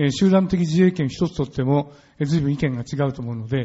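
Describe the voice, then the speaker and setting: Talking at a fairly quick pace, a man uses a fairly high, somewhat breathy voice with lively intonation. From Japan. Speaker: moderator, journalist. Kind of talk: debate moderation. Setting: stage with audience.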